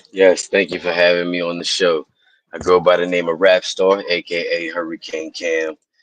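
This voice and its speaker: Recorded dry and close with no echo, a man speaks at a moderate pace in a very deep, low pitch with monotone, flat intonation. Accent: American. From Pittsburgh, Pennsylvania. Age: 30s. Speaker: rapper. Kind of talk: casual chat.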